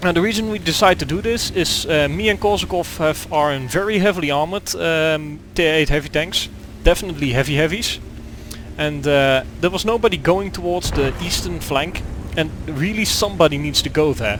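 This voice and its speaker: Over noticeable background noise, a man speaks with a Dutch accent at a fairly quick pace. His pitch is fairly high and his intonation lively. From Netherlands. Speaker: gaming video creator. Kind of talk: gameplay commentary. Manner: halting, many fillers.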